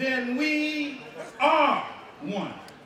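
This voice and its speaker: There is audible room echo and noticeable background noise as a man speaks with an extremely high pitch. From United States. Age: 40s. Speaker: motivational speaker. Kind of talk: public speech. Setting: stage with large audience. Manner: slow.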